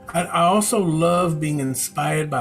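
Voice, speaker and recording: Music plays in the background. Over it, a man with a fairly high pitch speaks at a fairly slow pace. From Chicago. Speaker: reverend, prison education facilitator. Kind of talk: personal testimony to camera.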